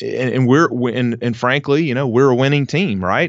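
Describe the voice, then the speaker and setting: A man speaks at a medium pitch. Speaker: army veteran and restaurant franchisee. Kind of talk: interview. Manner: halting, many fillers and repeats.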